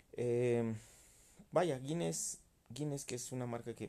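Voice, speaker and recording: A man speaks in a dark, mellow tone, his pitch varying in an ordinary way. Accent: Mexican. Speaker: beer podcaster. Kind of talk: casual monologue. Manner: halting, many repetitions.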